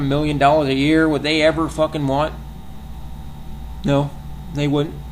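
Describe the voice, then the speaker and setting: There is audible room echo and noticeable background noise as a man speaks at a fairly high pitch. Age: 20s. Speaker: vlogger. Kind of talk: rant. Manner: halting, many repetitions and fillers.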